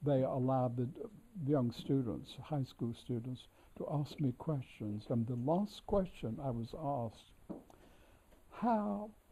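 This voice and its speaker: A man with an American accent speaks fairly slowly at a medium pitch. His tone is dark and mellow, his intonation lively, and he sounds somewhat breathy. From North Carolina, US South. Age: 80s+. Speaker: scholar and editor of an author's works. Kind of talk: reminiscence during a tour. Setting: library of a historic house. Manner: halting with many fillers.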